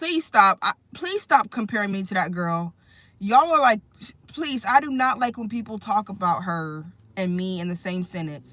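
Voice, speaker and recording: A woman speaks at a medium pitch with a bright, sharp tone. Her pitch swings very widely and her loudness swings a lot. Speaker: livestreamer. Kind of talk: casual livestream chat about faith. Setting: live stream. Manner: slow.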